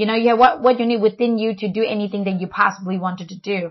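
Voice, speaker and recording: With ordinary pitch variation, a woman talks very fast. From China. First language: Chinese. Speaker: family podcast co-host. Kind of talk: casual chat.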